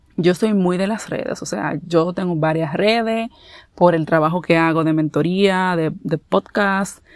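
A woman with an unremarkable speaking voice, fairly low in pitch with ordinary pitch variation, at a fairly slow pace. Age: 30s. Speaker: podcast host. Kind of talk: casual solo talk.

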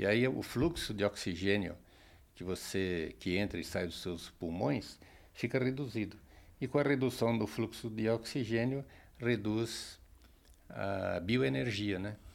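A man's fairly low voice with lively intonation at a fairly slow pace, broken by long, frequent pauses. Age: 60s. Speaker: meditation practitioner. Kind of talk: interview. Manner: hesitant with fillers.

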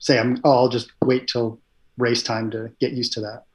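Here a man speaks at a moderate pace and medium pitch. His voice is somewhat breathy. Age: 40s. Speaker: endurance cyclist and software engineer. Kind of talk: casual interview. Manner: hesitant, many fillers.

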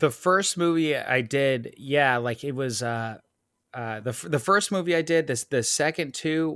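In a very clean recording with a silent background, a man with an unremarkable speaking voice talks at a fairly slow pace with ordinary pitch variation. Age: 30s. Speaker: film director. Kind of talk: casual interview chat.

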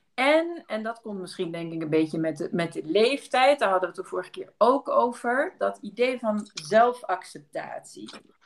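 At a moderate pace and with hardly any pauses, a woman with a fairly high voice swings very widely in pitch and makes big swings in loudness. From Belgium, near Maastricht. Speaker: anthropologist and lecturer. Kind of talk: casual interview.

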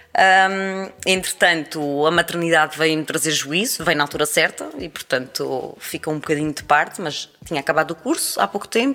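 At a moderate pace and with hardly any pauses, a woman speaks in a very deep, low pitch. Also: ordinary pitch variation. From Azores, Terceira island (Praia da Vitória). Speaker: journalist and radio presenter. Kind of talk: casual interview. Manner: halting, many repetitions.

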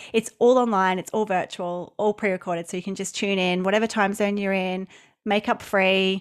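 A woman with an Australian accent talks in a monotone, flat intonation. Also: medium pitch for a woman, moderate pace. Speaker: business coach and summit host. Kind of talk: casual interview chat. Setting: remote call, different time zone.

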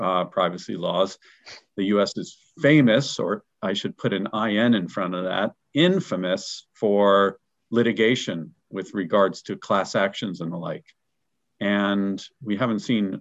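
Fairly low-pitched, a man talks at a fairly slow pace with ordinary pitch variation. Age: 50s. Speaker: professional association business development director. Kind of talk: interview conversation. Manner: halting with frequent repetitions.

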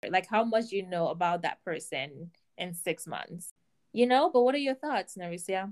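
On a very clean recording with a silent background and a dry, close sound free of echo, a woman speaks in an ordinary speaking voice at medium pitch and a moderate pace with lively intonation. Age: 20s. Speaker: podcast co-host. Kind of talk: casual chat.

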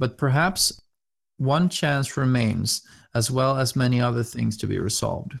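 With a Swedish accent, a somewhat breathy man talks at a moderate pace with ordinary pitch variation. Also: medium pitch for a man, very even loudness. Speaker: podcast host, game master. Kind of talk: role-play narration.

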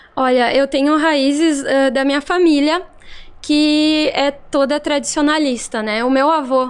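A woman with a southern Brazilian accent speaks at a high pitch and a fairly slow pace. Her intonation stays fairly even. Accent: gaúcho Brazilian Portuguese. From Rio Grande do Sul, Brazil. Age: 30s. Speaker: social media influencer and shop owner. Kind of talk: casual podcast interview.

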